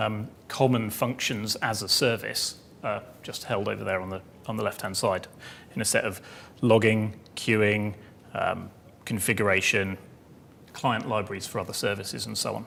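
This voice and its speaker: A man with a fairly low voice speaks at a moderate pace, leaving long, frequent pauses. His tone is bright and sharp, with vocal fry and monotone, flat intonation. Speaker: software developer giving a conference talk. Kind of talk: technical talk.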